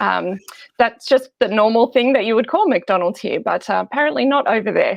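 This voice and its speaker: Fairly quick, lively speech in an Australian accent, with vocal fry. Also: woman, fairly high pitch for a woman. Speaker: biblical scholar and lecturer. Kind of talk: interview.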